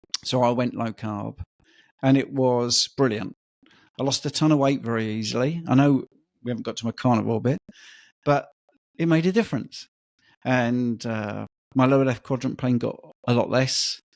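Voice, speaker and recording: In a very clean recording with a silent background and a dry, close sound with no echo, a man talks in a British accent at a moderate pace. His medium pitch shows ordinary variation, broken by long, frequent pauses. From UK. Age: 50s. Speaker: personal trainer and diet coach. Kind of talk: podcast interview, personal story.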